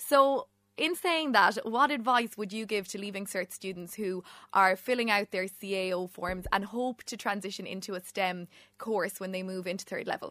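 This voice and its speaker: A woman with an Irish accent speaks at a moderate pace and a medium pitch with ordinary variation. Her tone is bright and sharp, and the sound is dry and close with no echo. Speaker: podcast host. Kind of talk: interview. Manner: enthusiastic.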